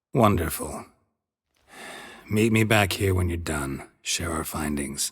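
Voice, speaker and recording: In a put-on character voice, the speaker delivers a deadpan tone at a fairly slow pace. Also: man, very deep, low pitch for a man. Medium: video game. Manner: terse, deadpan.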